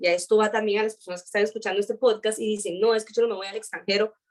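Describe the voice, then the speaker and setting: Speaking in a Costa Rican accent, a woman uses a fairly high pitch. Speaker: aerospace engineering student. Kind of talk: interview. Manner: fast.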